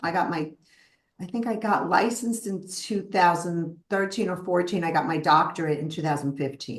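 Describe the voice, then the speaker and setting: A woman speaks with a strong Brooklyn accent. Her pace is moderate. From US, Brooklyn, New York. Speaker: psychotherapist. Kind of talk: interview.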